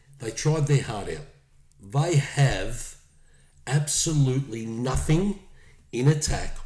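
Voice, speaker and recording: At a very slow pace with long, frequent pauses, a man speaks in a dark, mellow, somewhat breathy tone, his pitch fairly high for a man and his pitch variation ordinary. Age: 50s. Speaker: rugby league podcast co-host. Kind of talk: casual chat.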